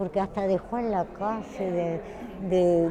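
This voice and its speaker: Amid crowd noise in the background and audible room echo, a woman speaks at a very slow pace. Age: 70s. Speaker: retired textile worker. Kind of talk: interview.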